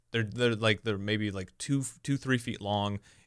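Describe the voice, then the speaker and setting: A man with an American accent has a normal speaking voice at a fairly low pitch, with fairly even intonation. He keeps a moderate pace on a very clean recording with a silent background. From US Midwest, Omaha area. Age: 20s. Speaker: comedian. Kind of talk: casual chat.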